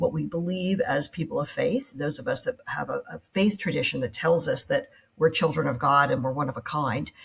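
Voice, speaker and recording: A woman talks at a fairly quick pace. Her fairly low voice is somewhat breathy. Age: 60s. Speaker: entrepreneur. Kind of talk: interview conversation.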